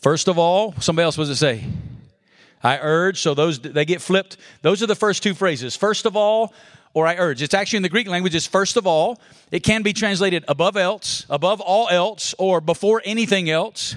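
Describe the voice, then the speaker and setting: An energetic man with an Alabama accent, high-pitched, at a fairly quick pace, with very even loudness, ordinary pitch variation and a very clean recording over a silent background. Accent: Southern US (Alabama). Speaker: pastor. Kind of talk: conference breakout sermon, expository Bible teaching with call-and-response. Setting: conference room with live audience. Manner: energetic, folksy preacher cadence, drawing audience responses; rhetorical questions then emphatic punchlines.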